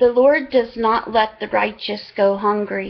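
A woman talks at a very slow pace. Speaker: online Bible reader. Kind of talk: reading aloud. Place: home room. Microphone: webcam.

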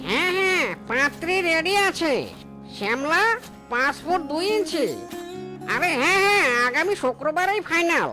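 In a cartoonish character voice, someone speaks at a fairly slow pace while clear music plays in the background. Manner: fast, excitable.

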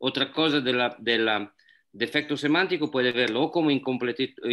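At a moderate pace, a man talks at a medium pitch with ordinary pitch variation.

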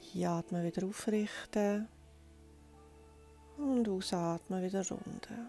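Over music in the background, a soft-spoken woman talks in a calm tone at a very slow pace, with ordinary pitch variation, long, frequent pauses and a dry sound with no echo. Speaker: yoga teacher. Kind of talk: guided yoga instruction. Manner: soft-spoken, calm. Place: home room.

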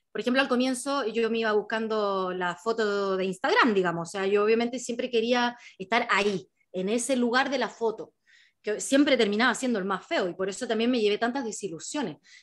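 Against a quiet background, a woman talks at a fairly quick pace with a fairly high pitch and ordinary pitch variation. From Chile. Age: 30s. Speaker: travel writer and author. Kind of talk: book presentation talk. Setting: video call. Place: home room. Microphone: video call.

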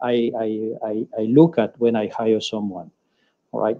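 In a French accent, a man talks at a moderate pace against a quiet background. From France. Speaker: hotel general manager; panelist. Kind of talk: webinar panel discussion. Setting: video call. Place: office. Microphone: video call.

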